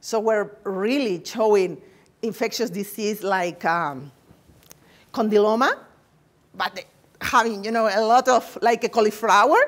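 A woman with a Spanish accent at a fairly high pitch and fairly slow pace, with ordinary pitch variation and long, frequent pauses. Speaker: nursing researcher; presenter. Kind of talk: lecture. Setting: seminar room with audience. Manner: halting; good-humored. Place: classroom.

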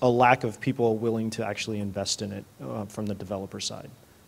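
Fairly quick American-accented male voice, a normal speaking voice, fairly low in pitch, with fairly even intonation. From Colorado. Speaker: software developer on a panel. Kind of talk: conference panel discussion. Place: hall.

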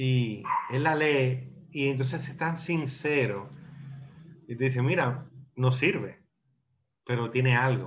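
Somewhat breathy, a man talks at a very slow pace with fairly even intonation and long, frequent pauses, over light background noise. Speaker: film discussion participant. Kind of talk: casual group discussion of a film. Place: home room. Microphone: video call.

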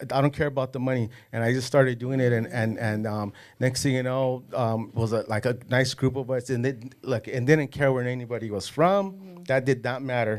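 Over a quiet background, a man with an American accent talks at a fairly quick pace with ordinary pitch variation. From Los Angeles area. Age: 40s. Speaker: casting and extras agency owner, former gang member; podcast guest. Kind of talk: casual interview. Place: studio. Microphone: studio mic.

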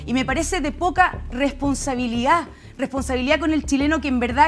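High-pitched woman at a fairly quick pace with fairly even intonation over light background noise. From Chile. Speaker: political panelist; panelist. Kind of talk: panel debate. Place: studio. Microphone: lapel.

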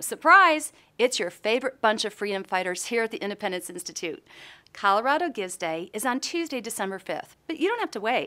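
A woman speaks with a bright, sharp tone. Her pitch swings very widely. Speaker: presenter.

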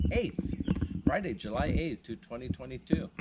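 A man's voice comes with clearly audible background noise. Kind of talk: casual vlog chat. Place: open country. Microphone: phone near.

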